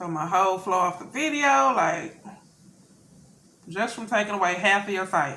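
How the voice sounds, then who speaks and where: A woman speaks in a Southern US accent with lively intonation and long, frequent pauses. Noticeable background noise and audible room echo surround her voice. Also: medium pitch for a woman, moderate pace. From US South. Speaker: mukbang youtuber. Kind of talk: casual vlog chat while eating. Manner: halting, stumbling on words.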